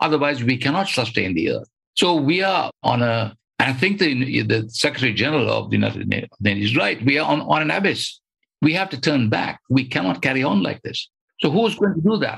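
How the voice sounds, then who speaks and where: Speaking at a fairly quick pace, a man uses very wide pitch swings and vocal fry. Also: medium pitch for a man. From Sri Lanka. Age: old. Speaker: environmentalist. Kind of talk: interview.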